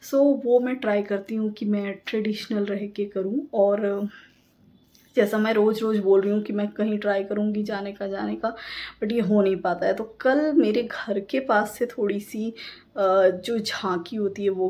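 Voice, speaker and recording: Her tone is dark and mellow, and this woman's pitch sits at a medium level. She speaks at a fairly slow pace with fairly even intonation. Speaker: vlogger. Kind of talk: casual vlog talk. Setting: at home. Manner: effortful speaking; hesitant with fillers.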